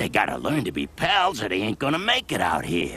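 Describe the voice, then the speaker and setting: Using a put-on character voice, a man speaks at a fairly quick pace and fairly high pitch over light background noise. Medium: voice reel. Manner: gruff, streetwise.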